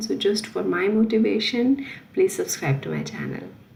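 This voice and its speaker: Moderately paced speech comes from a woman. Background noise is noticeable throughout. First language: not French. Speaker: French language teacher. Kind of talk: tutorial. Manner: halting, with fillers.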